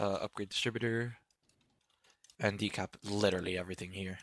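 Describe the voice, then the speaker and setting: A man's fairly low voice at a fairly quick pace, with fairly even intonation, dry and close with no echo, on a very clean recording with a silent background. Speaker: gaming tutorial creator. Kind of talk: tutorial. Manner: casual; fast.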